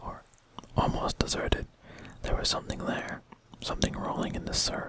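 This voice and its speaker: Whispered words arrive at a moderate pace, with noticeable background noise behind them. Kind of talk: read story. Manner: soft-spoken.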